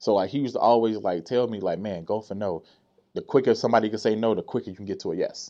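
A man speaks very fast with an American accent. His pitch is medium, with ordinary variation. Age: 30s. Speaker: dancer and entertainer. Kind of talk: casual chat. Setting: studio.

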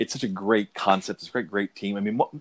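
A man talks at a fairly quick pace with monotone, flat intonation. The sound is dry and close, with no echo. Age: 40s. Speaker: comic book fan on a podcast. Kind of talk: casual chat. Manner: halting, with many repetitions.

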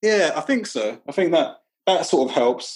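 In a London accent, a man speaks at a moderate pace. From London, Brixton. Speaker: teacher and author. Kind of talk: casual interview conversation. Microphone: not studio quality.

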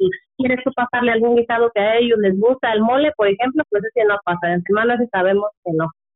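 With music in the background, a woman speaks in a fairly high pitch with ordinary pitch variation. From Mexico, Michoacán. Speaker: relative of a prisoner. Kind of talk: testimony.

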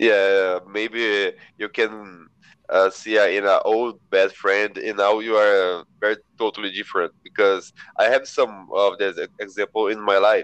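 A man speaks with a Portuguese accent. His pace is fairly slow. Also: dry, close sound with no echo. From São José dos Campos, Brazil. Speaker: volunteer. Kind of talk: casual chat; reading aloud. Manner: halting.

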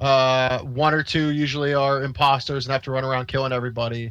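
A man's fairly high, bright and sharp voice in a monotone, flat intonation, on a very clean recording with a silent background. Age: 30s. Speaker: podcast co-host. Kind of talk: casual chat.

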